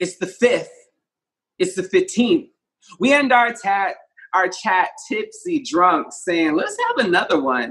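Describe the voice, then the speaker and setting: Against a quiet background, a man talks at a very slow pace, leaving long, frequent pauses. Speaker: poet. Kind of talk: poem performance. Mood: wry, playful. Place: home room. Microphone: phone near.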